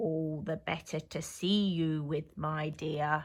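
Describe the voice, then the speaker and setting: A woman's put-on character voice, very deep and low, at a fairly slow pace on a very clean recording with a silent background. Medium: read story. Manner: sly, gloating.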